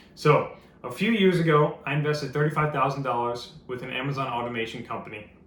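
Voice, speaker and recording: Over noticeable background noise and audible room echo, a man speaks at a very fast pace. His pitch is fairly high, with ordinary variation. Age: 20s. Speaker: entrepreneur, business owner. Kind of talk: sales pitch. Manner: casual, conversational with fillers.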